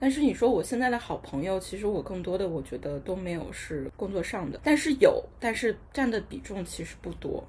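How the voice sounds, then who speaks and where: A woman talks at a fairly quick clip. Her pitch swings very widely. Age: 20s. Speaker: young office worker. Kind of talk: casual chat.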